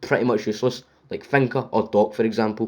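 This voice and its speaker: With a Scottish accent, a man speaks at a fairly quick pace and ordinary pitch variation. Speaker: gaming YouTuber. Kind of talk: game review. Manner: scripted reading; stuttering, unscripted in parts.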